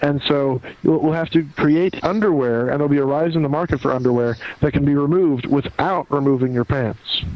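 Noticeable background noise sits behind a man talking at a fairly quick pace. His fairly high voice keeps a fairly even intonation. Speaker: podcast co-host. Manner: joking, playful.

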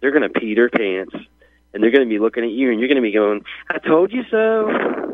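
It is a normal speaking voice with an American accent. The pace is fairly quick, with ordinary pitch variation. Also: man, medium pitch for a man. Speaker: caller. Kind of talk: call-in. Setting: phone call. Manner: excitable.

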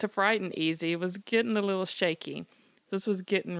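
The text is delivered in a natural reading voice.

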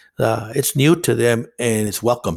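A man with a Spanish accent, medium pitch and vocal fry, at a moderate pace. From northern Mexico; Nogales, Sonora. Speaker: counselor. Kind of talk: interview.

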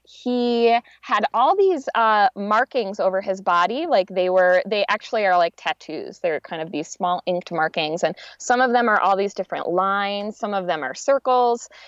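A woman with an American accent at a moderate pace, medium-pitched and lively in intonation, against a quiet background. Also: dry, close sound with no echo. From upstate New York. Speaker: music therapist. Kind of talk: casual chat. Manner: halting.

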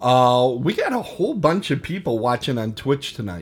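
An animated tone in a Milwaukee accent. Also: man. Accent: Milwaukee Wisconsin Midwestern. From Wisconsin, US. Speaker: podcast host. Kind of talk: casual banter, show host. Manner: animated, jokey.

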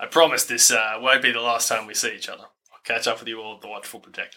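In a raspy, put-on character voice, the speaker rattles along at a very fast pace with fairly even intonation and big swings in loudness. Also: man, medium pitch for a man. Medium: actual play. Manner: casual, friendly.

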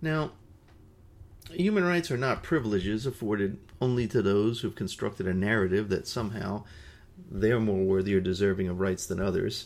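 A man with an unremarkable speaking voice, fairly low in pitch, with lively intonation at a moderate pace, in a very clean recording with a silent background. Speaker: podcast host and peace educator. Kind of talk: solo educational podcast talk. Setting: indoor room with nearby highway traffic noise.

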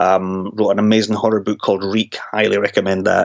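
A man talks with a Scottish accent. His pace is very fast. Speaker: horror novelist. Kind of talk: interview.

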